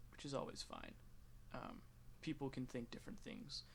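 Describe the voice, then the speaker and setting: Speaking with an American accent, a man keeps his intonation monotone and flat. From United States. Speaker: gaming youtuber. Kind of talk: casual commentary while playing a game. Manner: rambling with many fillers and restarts.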